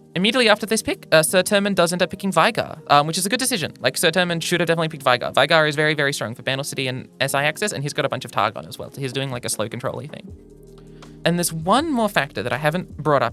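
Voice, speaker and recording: A woman talks very fast in a very deep, low pitch, with very wide pitch swings and big swings in loudness. Music plays in the background. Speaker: card game content creator. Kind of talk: casual commentary to camera, podcast-like. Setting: studio.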